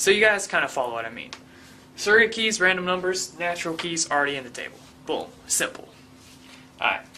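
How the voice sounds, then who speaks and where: The speech comes at a very fast pace, broken by long, frequent pauses. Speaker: online tutorial instructor. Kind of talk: tutorial. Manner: animated.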